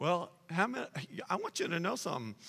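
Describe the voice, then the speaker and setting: A man speaks in a high pitch with a bright, sharp tone. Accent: American. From Texas (Dallas). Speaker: pastor. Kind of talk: sermon. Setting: church.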